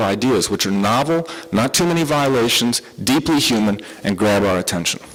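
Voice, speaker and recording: With an American accent, a man races along at a very fast pace with lively intonation, amid noticeable background noise and audible room echo. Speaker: psychiatrist giving a conference talk. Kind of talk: lecture. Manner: animated.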